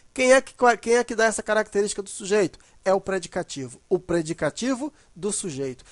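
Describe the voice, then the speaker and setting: The tone is animated and the pace fairly quick. The background is quiet. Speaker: grammar teacher. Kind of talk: lecture.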